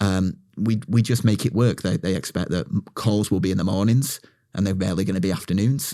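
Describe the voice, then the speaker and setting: A dark, mellow tone at a fairly quick pace with ordinary pitch variation, in a very clean recording with a silent background. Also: man, fairly low pitch for a man. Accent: British. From UK. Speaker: marketing agency owner. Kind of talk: podcast interview. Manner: halting, repeats words.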